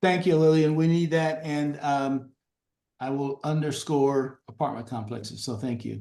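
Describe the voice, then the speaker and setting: The voice has a dark, mellow tone with ordinary pitch variation. It moves at a moderate pace. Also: man, fairly high pitch for a man. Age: old. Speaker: local party chair. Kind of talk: Q&A on a community video call. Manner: halting, many fillers.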